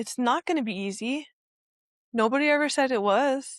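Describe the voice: In a very clean recording with a silent background, a woman speaks at a moderate pace with ordinary pitch variation, the sound dry and close with no echo.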